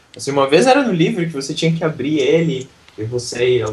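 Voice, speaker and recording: A man's fairly high-pitched voice at a fairly quick pace over noticeable background noise. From southern Brazil, Santa Catarina. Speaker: English teacher and YouTuber. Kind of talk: interview.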